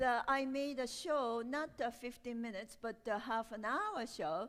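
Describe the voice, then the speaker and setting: A woman with a Japanese accent speaks at a fairly slow pace. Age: 60s. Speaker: storyteller and performer. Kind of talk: interview Q&A. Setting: art gallery with audience. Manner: halting.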